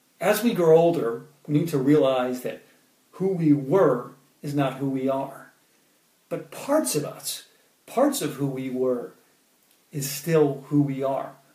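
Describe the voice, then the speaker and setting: This man talks at a fairly slow pace, with long, frequent pauses and ordinary pitch variation. His voice is fairly high for a man, somewhat breathy, and dark and mellow in tone. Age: 30s. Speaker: poet and motivational speaker. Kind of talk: motivational talk with poetry readings. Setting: Facebook Live stream.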